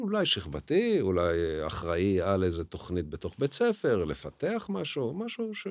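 A man talks at a moderate pace with hardly any pauses. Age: 60s. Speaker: teacher. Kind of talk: interview. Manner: halting.

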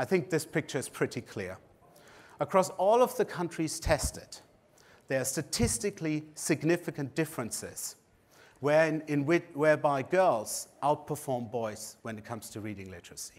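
In a German accent, a man with a fairly high pitch and vocal fry speaks with very wide pitch swings. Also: very clean recording, silent background. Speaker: education researcher. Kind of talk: conference lecture.

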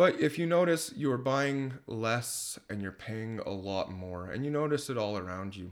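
Speaking at a fairly slow pace, a man with an ordinary speaking voice and medium pitch uses lively intonation and big swings in loudness. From Leduc, Alberta, Canada. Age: 20s. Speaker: electrician and part-time musician. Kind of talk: casual podcast interview. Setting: home.

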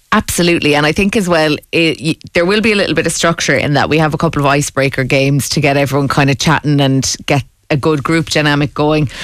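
In an Irish accent, a woman with a very deep, low pitch talks very fast, with hardly any pauses and very even loudness. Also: ordinary pitch variation. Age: 20s. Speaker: founder of a social craft club. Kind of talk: radio interview. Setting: studio.

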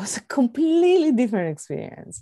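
The speaker has a Greek accent, a dark, mellow tone and very wide pitch swings. The background is quiet. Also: woman. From Greece. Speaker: astronomer, organization director. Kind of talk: interview.

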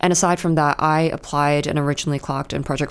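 A woman with a New Zealand accent, very fast, her voice very deep and low. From New Zealand, Auckland. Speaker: junior lawyer. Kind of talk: casual interview.

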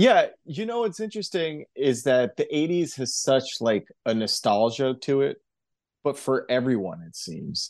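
Against a quiet background, a man speaks at a fairly high pitch and a fairly slow pace, with very wide pitch swings and big swings in loudness. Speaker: musician. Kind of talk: casual chat.

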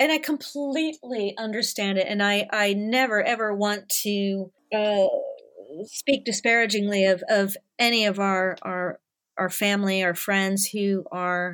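An unremarkable speaking voice from a woman with an American accent, medium pitch, ordinary pitch variation and a fairly slow pace. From US South, Nashville. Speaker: animation studio artist manager. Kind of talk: casual chat. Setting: remote call, home microphone.

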